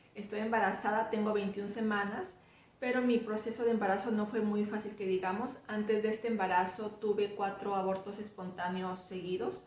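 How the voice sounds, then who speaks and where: A woman with a fairly high pitch talks at a moderate pace in a monotone, flat intonation, with audible room echo and noticeable background noise. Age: 40s. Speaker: vlogger. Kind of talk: personal storytelling.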